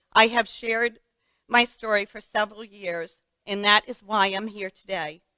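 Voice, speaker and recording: Her tone bright and sharp, a woman speaks at a moderate pace and a fairly high pitch. The sound is dry and close with no echo, her intonation fairly even. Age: 60s. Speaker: metastatic breast cancer patient sharing her story. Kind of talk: personal testimony speech.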